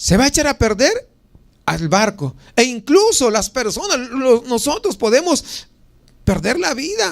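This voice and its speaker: Speaking at an extremely high pitch, a man swings his pitch very widely. He talks at a fairly slow pace, leaving long, frequent pauses. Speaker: pastor. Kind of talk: sermon.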